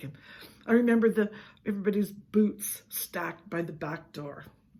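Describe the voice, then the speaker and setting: This woman has a medium pitch and a somewhat breathy voice. She talks at a moderate pace with lively intonation. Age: 70s. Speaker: storyteller vlogger. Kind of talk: personal storytelling.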